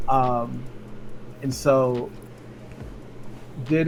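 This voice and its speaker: Noticeable background noise runs underneath. Over it, a man is soft-spoken. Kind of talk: casual interview answer. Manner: soft-spoken, chill.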